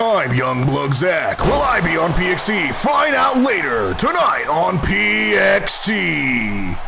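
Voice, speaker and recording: Over loud background noise, a man performs a put-on character voice at a very slow pace. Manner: dramatic, over-the-top.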